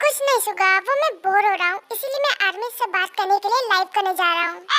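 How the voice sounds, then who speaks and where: This put-on character voice races along at a very fast pace. Its pitch varies in an ordinary way. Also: woman, extremely high pitch for a woman. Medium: fan dub. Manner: casual, smug.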